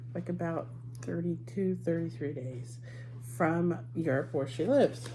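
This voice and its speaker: Set against noticeable background noise and audible room echo, a woman talks at a fairly slow pace. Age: 60s. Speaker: lifestyle vlogger. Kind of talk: casual haul video. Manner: conversational with many fillers.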